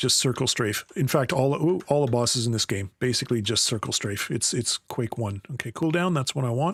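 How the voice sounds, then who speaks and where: A man with a Canadian accent talks in a relaxed, somewhat breathy tone at a medium pitch and moderate pace, his intonation lively and the sound dry and close with no echo. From Canada. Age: 60s. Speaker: video game streamer. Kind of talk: gameplay commentary with tutorial tips. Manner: casual, relaxed.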